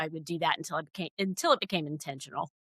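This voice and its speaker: A woman with a Southern US accent speaks with ordinary pitch variation. The sound is dry and close with no echo, on a very clean recording with a silent background. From US South, Georgia. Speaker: critical care nurse and expert witness. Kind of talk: podcast interview. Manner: hesitant, many fillers.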